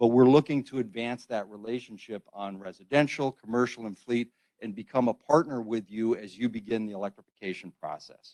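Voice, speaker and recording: At a fairly quick pace, a man with a dark, mellow tone speaks with big swings in loudness in a dry, close sound with no echo. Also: medium pitch for a man, fairly even intonation. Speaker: utility company EV program representative. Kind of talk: conference presentation. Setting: hybrid workshop, in-room with microphone.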